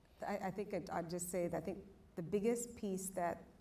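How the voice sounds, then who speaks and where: A woman's dark, mellow tone with an American accent and audible room echo. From outside the US. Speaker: panelist, industry leader. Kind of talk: panel discussion. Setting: stage with audience.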